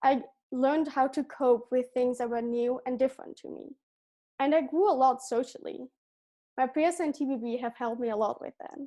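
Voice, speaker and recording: The voice has a dark, mellow tone and a Dutch accent at a moderate pace, with big swings in loudness. The recording is very clean with a silent background. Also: woman. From Belgium. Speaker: gap year student. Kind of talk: prepared presentation.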